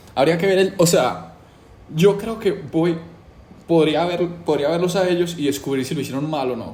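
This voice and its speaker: A man at a moderate pace with ordinary pitch variation, amid audible room echo. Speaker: YouTuber doing a challenge. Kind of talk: casual monologue to camera. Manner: casual, hesitant with fillers.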